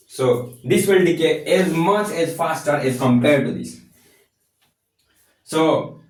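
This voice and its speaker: The speaker has a non-native accent and lively intonation. Audible room echo surrounds the voice. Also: man. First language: not English. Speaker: physics content creator. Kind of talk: tutorial. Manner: halting.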